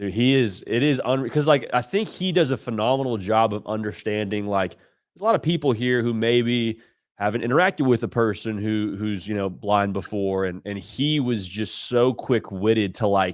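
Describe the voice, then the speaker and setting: In a very clean recording with a silent background, a man with a slight Nashville accent speaks at a moderate pace and medium pitch, using an animated tone, ordinary pitch variation and hardly any pauses. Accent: slight Nashville twang. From Southern California, Orange County. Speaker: college football analyst. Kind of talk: sports podcast interview.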